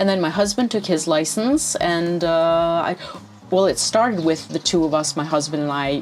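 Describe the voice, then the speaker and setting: A woman with fairly low pitch, ordinary pitch variation and a moderate pace, with music in the background. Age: 60s. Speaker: writer and writing teacher. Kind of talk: interview. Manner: hesitant.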